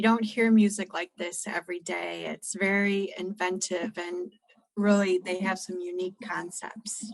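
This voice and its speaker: In an American accent, a woman at medium pitch speaks fairly slowly with flat, monotone intonation. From United States. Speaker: podcast co-host, music reviewer. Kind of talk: casual album review chat.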